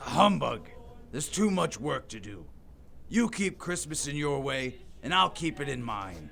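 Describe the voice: A man puts on a character voice with a fairly bright tone and vocal fry. He goes at a fairly slow pace with big pitch swings. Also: medium pitch for a man.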